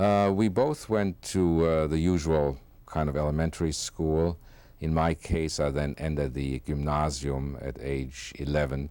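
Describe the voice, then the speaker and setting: A man's very deep, low voice with a German accent, dark and mellow in tone, at a fairly slow pace with ordinary pitch variation, on a very clean recording over a silent background. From Germany, Frankfurt. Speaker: Holocaust survivor. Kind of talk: oral history interview. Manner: halting, many fillers.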